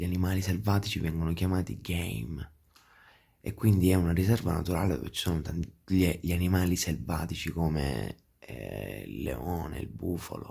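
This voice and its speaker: In a very clean recording with a silent background, a man with a very deep, low pitch and a dark, mellow tone shows vocal fry and ordinary pitch variation. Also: moderate pace. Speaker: travel vlogger. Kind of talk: casual vlog talk to camera. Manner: hesitant, many fillers.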